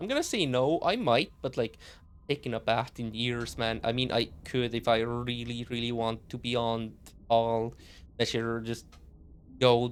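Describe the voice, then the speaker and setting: A man with a non-native accent talks at a fairly slow pace in a medium pitch. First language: not English. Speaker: streamer. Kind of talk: gaming commentary. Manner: halting.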